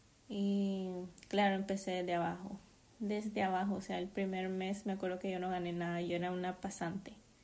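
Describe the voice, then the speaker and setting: The voice has a dark, mellow tone and monotone, flat intonation, moving at a fairly slow pace. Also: woman. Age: 20s. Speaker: podcaster and master's student. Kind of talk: casual solo monologue.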